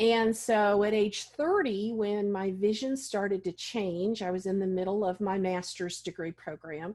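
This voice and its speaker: A woman with an ordinary speaking voice talks at medium pitch with fairly even intonation on a very clean recording with a silent background. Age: 60s. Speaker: vision loss specialist and advocate. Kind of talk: interview.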